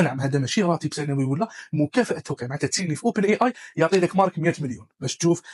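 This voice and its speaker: A man with an Algerian accent talks at a very fast pace. His voice is somewhat breathy, with a dry, close sound and no echo. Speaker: tech news presenter. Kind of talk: news roundup, casual dialect.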